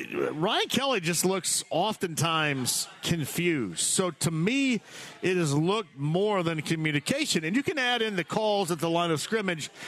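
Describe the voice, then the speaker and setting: A high-pitched man with lively intonation amid noticeable background noise. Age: 50s. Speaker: sports radio host. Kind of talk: sports talk radio. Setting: live remote broadcast at a tavern.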